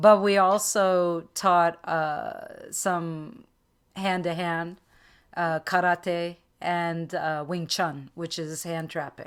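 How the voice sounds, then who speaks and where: In a very clean recording with a silent background, a woman speaks at a fairly low pitch. She talks at a very slow pace in a monotone, flat intonation. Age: 60s. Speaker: astrologer and meditation teacher. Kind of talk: casual interview conversation.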